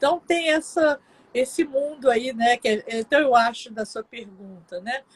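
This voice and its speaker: Dry, close sound with no echo, big swings in loudness, a fairly slow pace and ordinary pitch variation. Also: woman, high pitch for a woman. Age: 60s. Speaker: psychologist. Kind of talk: live interview.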